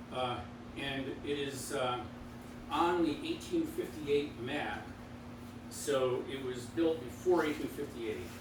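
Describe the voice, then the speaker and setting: With audible room echo and noticeable background noise, a man speaks very slowly with ordinary pitch variation and long, frequent pauses. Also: fairly high pitch for a man. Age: 70s. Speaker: local historian. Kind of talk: informal talk to a local audience. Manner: halting.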